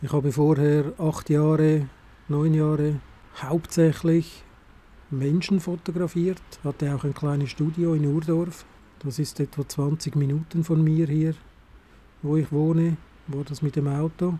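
At a fairly slow pace with long, frequent pauses, a man speaks in a dark, mellow tone at a fairly high pitch with monotone, flat intonation. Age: 50s. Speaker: analogue photography podcaster. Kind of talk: solo monologue podcast. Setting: outdoors on a covered balcony terrace in snowfall. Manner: casual, with hesitations.

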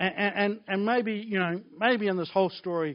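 A man is speaking. He has a New Zealand accent. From New Zealand (Blenheim). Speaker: pastor. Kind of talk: sermon. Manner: animated.

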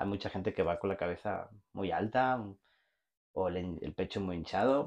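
A man's very deep, low voice with ordinary pitch variation over a quiet background. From Spain, Barcelona. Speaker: logistics executive and entrepreneur. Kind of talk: casual interview chat.

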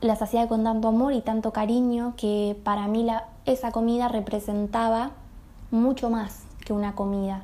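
The voice has a dark, mellow tone and a Rioplatense accent. Its intonation is monotone and flat, at a moderate pace. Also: woman, fairly high pitch for a woman. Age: 20s. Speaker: nutrition student and pastry entrepreneur. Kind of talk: recorded personal testimony.

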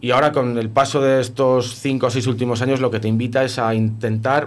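This man has an ordinary speaking voice, medium in pitch, and talks at a fairly quick pace with fairly even intonation. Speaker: beekeeper. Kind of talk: casual radio interview.

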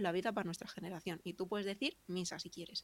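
A woman talks at a very fast pace. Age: 30s. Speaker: digital marketer. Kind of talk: casual interview chat. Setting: live stream.

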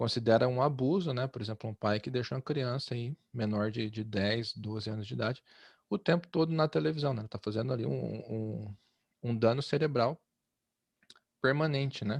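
A normal speaking voice from a man at medium pitch, moderate in pace with ordinary pitch variation, dry and close with no echo against a quiet background. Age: 30s. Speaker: podcast host. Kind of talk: casual discussion.

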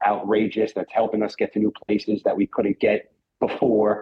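A man's voice at a fairly low pitch carries a slightly husky edge.

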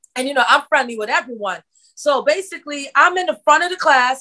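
Using a raised, projected voice, a woman speaks with lively intonation and a bright, sharp tone. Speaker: podcast host. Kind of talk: interview, casual conversation.

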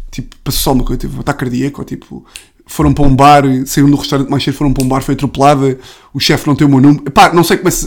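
A man speaks at a very fast pace with a European Portuguese accent. His pitch is fairly high, and there is vocal fry in his voice. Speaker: comedian. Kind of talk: casual chat.

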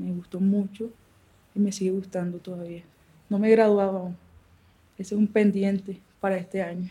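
A woman speaks in a dark, mellow, somewhat breathy voice of medium pitch, with monotone, flat intonation, big swings in loudness and long, frequent pauses. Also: moderate pace. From Barranquilla, Colombian Caribbean coast. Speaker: former guerrilla combatant, theatre maker. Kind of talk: interview testimony. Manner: halting, with repetitions.

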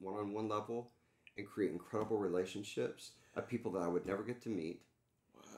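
A man's fairly low voice with a Texan accent. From Texas, Dallas area. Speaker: entertainment executive and coach. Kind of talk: casual interview.

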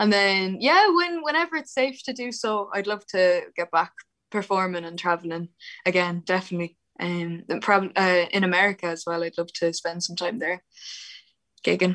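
Speaking at a moderate pace in an Irish accent, a woman has a bright, sharp tone at a medium pitch with ordinary pitch variation. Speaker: harpist, musician. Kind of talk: casual interview.

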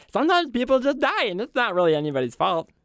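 A put-on character voice races at a very fast pace, fairly high in pitch with very wide pitch swings. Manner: sweet, cutesy.

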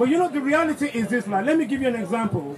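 Crowd noise fills the background as a man talks at an extremely high pitch. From Nigeria. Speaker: pastor.

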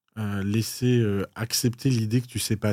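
A man's normal speaking voice, fairly low with fairly even intonation, on a very clean recording with a silent background. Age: 30s. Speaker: podcast host and entrepreneur. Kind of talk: casual chat.

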